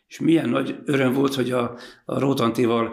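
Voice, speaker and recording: The man's medium-pitched voice carries vocal fry. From Hungary, Zala county (Kiskanizsa). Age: 60s. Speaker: ice cream shop owner and former football coach. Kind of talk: casual interview.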